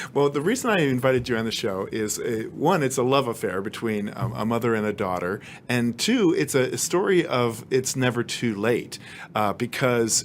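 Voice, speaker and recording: A man with an ordinary speaking voice talks at a moderate pace and medium pitch, with ordinary pitch variation. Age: 50s. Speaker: TV host and former journalist. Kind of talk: interview; scripted narration.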